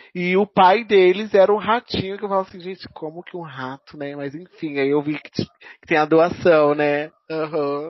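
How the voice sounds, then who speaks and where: Using a normal speaking voice, a man talks at a moderate pace with hardly any pauses, fairly high pitch, ordinary pitch variation and big swings in loudness. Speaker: podcast co-host. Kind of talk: casual chat.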